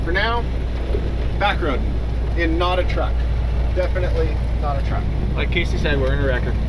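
Loud background noise sits under the recording. Over it, a man speaks at a fairly quick pace. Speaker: vlogger. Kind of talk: casual vlog chat. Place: car. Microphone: camera far.

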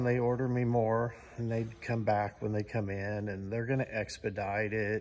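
A man speaks with an American accent at a fairly slow pace. His pitch varies in an ordinary way, over light background noise. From US. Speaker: channel host and vlogger. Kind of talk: angry rant, sarcastic complaint about supply delays. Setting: shop recliner, home workshop. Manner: exasperated, incredulous, rhetorical questions; casual, conversational. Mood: frustrated, exasperated. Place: garage. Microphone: phone near.

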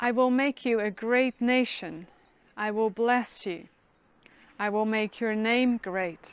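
The speech is very slow with long, frequent pauses and fairly even intonation, and the sound is dry with no echo. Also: woman, fairly high pitch for a woman. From Netherlands. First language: Dutch. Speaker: minister. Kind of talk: sermon. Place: garden.

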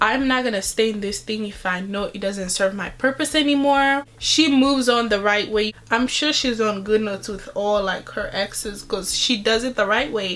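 Her pace is moderate, with hardly any pauses. The woman's pitch moves in an ordinary way. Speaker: beauty vlogger. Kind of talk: casual vlog chat. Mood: earnest, opinionated. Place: home room. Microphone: phone near.

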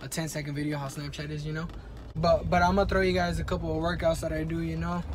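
Music can be heard in the background. Over it, a man speaks very fast. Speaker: vlogger. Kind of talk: casual vlog chat. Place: car. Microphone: phone near.

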